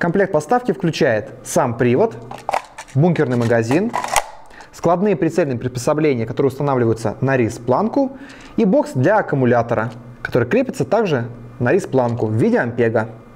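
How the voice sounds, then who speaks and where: Lively intonation from a man at a moderate pace, broken by long, frequent pauses. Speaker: presenter. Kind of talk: product review. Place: studio. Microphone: lapel.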